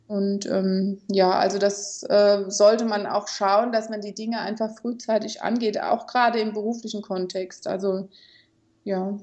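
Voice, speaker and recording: A woman speaks at a medium pitch for a woman and a fairly slow pace. Her intonation is monotone and flat. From Germany, Kaiserslautern (Palatinate). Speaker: mediator and conflict coach. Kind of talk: interview.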